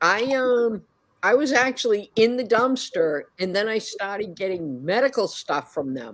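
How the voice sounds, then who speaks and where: A woman's fairly high voice in a Boston accent, fairly slow, with very wide pitch swings, on a very clean recording with a silent background. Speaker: reseller. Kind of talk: casual chat.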